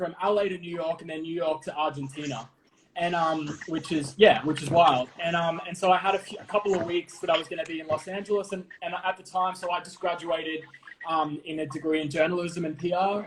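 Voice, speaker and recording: Fairly quick, fairly even speech in an Australian accent, with big swings in loudness and noticeable background noise. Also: man, high pitch for a man. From Australia, Melbourne. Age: 30s. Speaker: TV host and producer. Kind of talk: casual interview.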